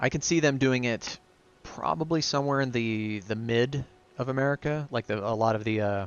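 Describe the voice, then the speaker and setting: Moving at a moderate pace, a man uses a normal speaking voice with ordinary pitch variation. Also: medium pitch for a man. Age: 30s. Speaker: gaming streamer. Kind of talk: live commentary. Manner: casual.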